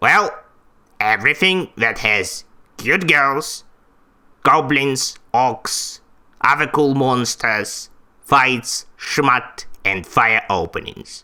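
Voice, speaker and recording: A man's put-on character voice at medium pitch, very slow pace and long, frequent pauses, in a very clean recording with a silent background. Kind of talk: vtuber debut self-introduction.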